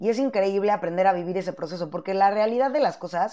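A woman with a Mexican accent, medium in pitch, at a very fast pace against a quiet background. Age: 30s. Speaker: podcast host. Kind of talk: casual monologue. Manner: animated.

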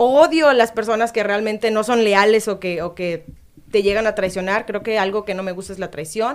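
A very fast-talking woman with a fairly high pitch and ordinary pitch variation. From Mexico, Veracruz (Boca del Río). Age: 20s. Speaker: radio presenter. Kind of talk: casual chat.

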